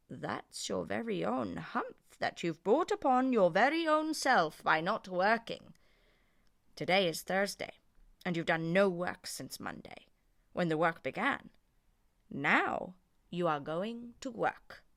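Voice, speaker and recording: A female-sounding put-on character voice at a middle pitch moves at a fairly slow pace. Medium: read story. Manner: stern, dryly teasing.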